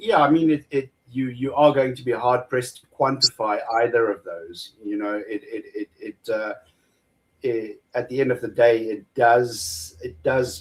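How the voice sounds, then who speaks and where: The man's voice is somewhat breathy and medium in pitch. He speaks at a fairly slow pace with ordinary pitch variation. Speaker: atheist debater. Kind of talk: debate. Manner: halting, repeats words.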